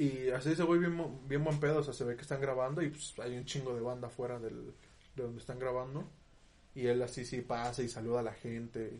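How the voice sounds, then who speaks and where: A somewhat breathy voice at a fairly quick pace, fairly even in intonation, with audible room echo. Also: man, medium pitch for a man. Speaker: podcast co-host. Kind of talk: casual chat.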